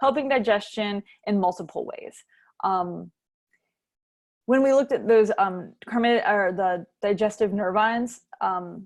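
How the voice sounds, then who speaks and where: A woman's unremarkable speaking voice, fairly high in pitch with ordinary pitch variation, against a quiet background. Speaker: clinical herbalist. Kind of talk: workshop lecture.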